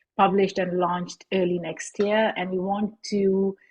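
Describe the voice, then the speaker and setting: The speech comes at a fairly slow pace and sounds somewhat breathy. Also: woman. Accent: Pakistani. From Pakistan, Lahore. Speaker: podcast host and activist. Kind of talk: panel self-introduction.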